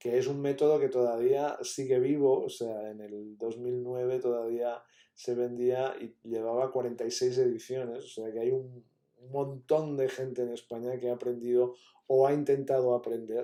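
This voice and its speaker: A man talks at a moderate pace in a dark, mellow tone with flat, monotone intonation. His loudness swings widely. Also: medium pitch for a man. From Catalonia, Spain. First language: Catalan (speaking Spanish). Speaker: university professor. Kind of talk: lecture. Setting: pre-recorded talk.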